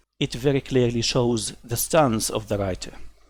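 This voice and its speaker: At a fairly slow pace, a man speaks at a medium pitch with vocal fry. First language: not English (third or later language). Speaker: gaming commentary youtuber. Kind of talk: opinion commentary reading articles. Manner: animated, scornful.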